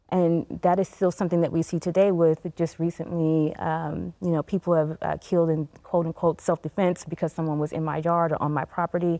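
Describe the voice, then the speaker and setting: A woman with a fairly low pitch and a dark, mellow tone speaks at a fairly quick pace in a flat monotone, with hardly any pauses. The recording is very clean and dry, with a close sound, no echo, and a silent background. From Tennessee. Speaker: psychology professor and nonprofit CEO. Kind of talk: panel discussion. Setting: TV studio.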